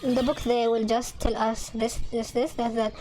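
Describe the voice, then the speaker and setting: With a slight Arabic accent, a woman speaks in a high pitch over noticeable background noise. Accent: slight Arabic accent, improved. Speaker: gaming video creator. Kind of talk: casual chat. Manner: halting, many repeated words and fillers.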